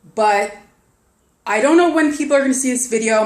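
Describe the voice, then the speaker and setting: A woman's lively intonation amid audible room echo. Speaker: online investment promoter. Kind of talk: casual vlog sales pitch. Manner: fast; animated, halting with repetitions.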